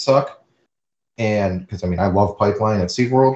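A man with a fairly low pitch speaks at a fairly quick pace. His voice is somewhat breathy, with fairly even intonation. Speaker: podcast host. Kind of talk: casual chat, podcast.

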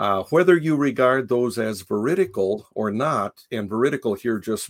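In a very clean recording with a silent background, a man with an American accent uses an ordinary speaking voice at medium pitch, with lively intonation and a fairly slow pace. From Japan (raised by American missionary parents). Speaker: philosophy professor and author. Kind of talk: interview. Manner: frequent filler words, measured pace.

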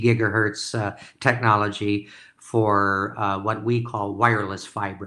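On a very clean recording with a silent background, a man with an Upper Midwest accent speaks in a bright, sharp tone. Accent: Upper Midwest (Minnesota). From rural Minnesota. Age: 70s. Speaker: entrepreneur and investor. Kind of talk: interview. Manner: halting.

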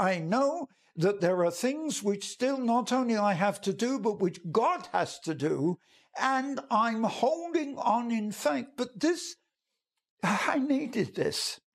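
In an English accent, a man talks at a very slow pace with an extremely high pitch that swings very widely. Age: 90s. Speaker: evangelist. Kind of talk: devotional talk. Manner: halting.

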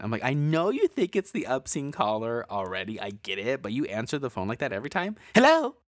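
A man at a very fast clip, his pitch swinging very widely, on a very clean recording with a silent background. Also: dry, close sound with no echo. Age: 20s. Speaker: horror podcast co-host. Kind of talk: casual chat; scripted narration.

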